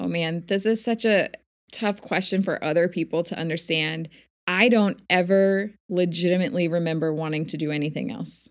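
On a very clean recording with a silent background, an unremarkable speaking voice talks at a moderate speed, its pitch moving in an ordinary way. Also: woman, fairly low pitch for a woman. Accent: American. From US, Northern Virginia (Army childhood). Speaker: physical therapist and teacher. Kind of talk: casual interview.

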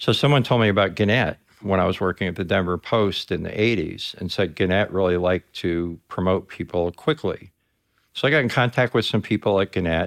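A man with a normal speaking voice talks in an American accent at a fairly low pitch with ordinary pitch variation and a fairly quick pace. The recording is very clean with a silent background, giving a dry, close sound with no echo. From New York (NYC, then Westchester County). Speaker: workforce development communications director, former journalist. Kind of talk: interview.

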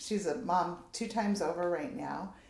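Against noticeable background noise, a woman of medium pitch talks at a fairly slow pace with ordinary pitch variation. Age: 50s. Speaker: counseling nonprofit executive director. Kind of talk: interview.

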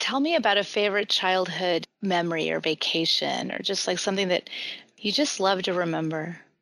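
This woman has an ordinary speaking voice at a medium pitch. She moves at a fairly quick pace with ordinary pitch variation. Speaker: podcast host. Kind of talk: casual interview chat.

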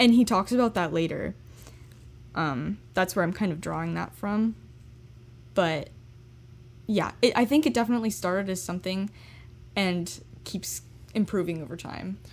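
With lively intonation, a woman at medium pitch speaks at a moderate pace, leaving long, frequent pauses. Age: young. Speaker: student co-host. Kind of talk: casual chat.

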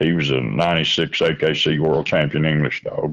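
Speaking fairly slowly in a Kentucky accent, a man uses a very deep, low pitch with vocal fry. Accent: Southern US (Kentucky). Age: 60s. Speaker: coon hunter and grandfather. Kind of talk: casual interview.

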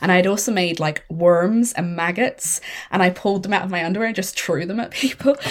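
Her Irish accent comes with a medium pitch and ordinary pitch variation as this woman speaks. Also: fairly quick pace. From Ireland. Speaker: horror film critic and podcast host. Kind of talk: casual chat.

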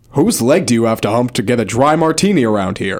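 A man's put-on character voice, medium in pitch, at a very fast pace

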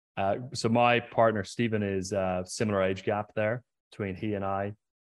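Fairly low-pitched speech from a man with an Irish accent and fairly even intonation, over a quiet background. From Ireland, County Mayo. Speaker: podcast host. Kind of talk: interview. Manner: halting.

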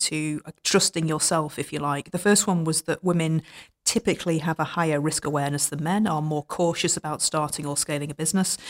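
In a very clean recording with a silent background and a dry, close sound with no echo, a woman with a British accent speaks at a fairly quick pace in a fairly low voice with fairly even intonation. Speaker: podcast host. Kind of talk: interview.

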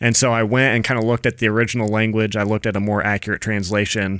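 A man with a fairly low voice talks at a fairly quick pace in a very clean, silent-backed recording with a dry, close sound and no echo. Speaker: filmmaker. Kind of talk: casual chat.

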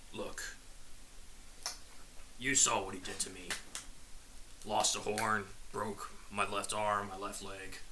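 A man puts on a character voice, fairly low in pitch, speaking at a fairly slow pace with long, frequent pauses over clear background noise. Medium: actual play. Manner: wry, tired.

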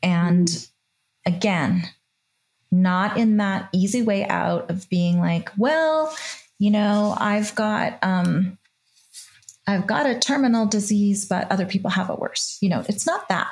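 This woman speaks at a very slow pace, with a medium pitch and ordinary pitch variation. Her loudness stays very even, and her voice is somewhat breathy. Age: 50s. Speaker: podcast host and author in recovery. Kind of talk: casual interview.

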